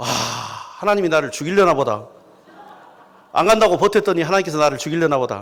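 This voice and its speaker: Over noticeable background noise, a man with a high voice and a strong Jeolla accent talks at a fairly quick pace with lively intonation and long, frequent pauses. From South Jeolla, Korea. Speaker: pastor. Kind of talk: sermon. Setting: church. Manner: animated storytelling.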